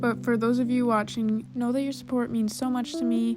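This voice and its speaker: With music in the background, a woman with an American accent talks at a fairly quick pace. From US Midwest. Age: 20s. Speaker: painter. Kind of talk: casual talk over painting. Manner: fast.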